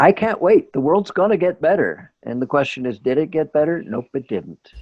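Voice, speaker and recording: At a moderate pace, a man with a fairly high pitch and vocal fry speaks with lively intonation. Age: 70s. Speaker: computer scientist. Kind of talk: interview answer.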